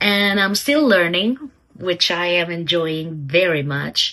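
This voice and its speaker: Very slowly, a woman speaks with a non-native accent. Her voice has a medium pitch. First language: not English. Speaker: aspiring novelist vlogger. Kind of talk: casual vlog talk. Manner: hesitant, many fillers.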